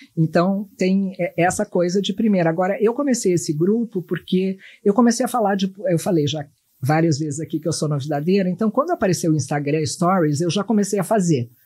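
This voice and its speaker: The speaker moves at a fairly quick pace, with a dark, mellow tone and lively intonation. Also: woman, medium pitch for a woman. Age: 60s. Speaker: journalist and pollster. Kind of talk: podcast interview. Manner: animated.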